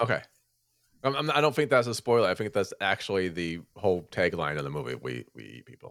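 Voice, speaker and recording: On a very clean recording with a silent background, a man with a fairly low pitch and vocal fry speaks at a very fast pace, with very wide pitch swings and big swings in loudness. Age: 20s. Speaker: horror podcast host. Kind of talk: casual chat. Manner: animated.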